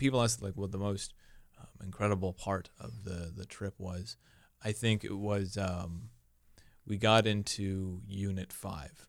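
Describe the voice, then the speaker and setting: A man's fairly low voice, an ordinary speaking voice, at a fairly slow pace with ordinary pitch variation, on a very clean recording with a silent background. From US Midwest, Omaha area. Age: 20s. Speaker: comedian. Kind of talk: casual chat.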